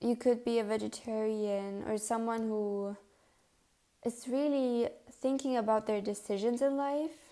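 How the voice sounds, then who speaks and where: A woman speaks at a fairly slow pace in a fairly high pitch with a dark, mellow tone. Her intonation stays fairly even. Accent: non-native. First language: not English. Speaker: tarot card reader. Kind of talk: pick a card tarot reading. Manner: casual, with fillers and self-corrections.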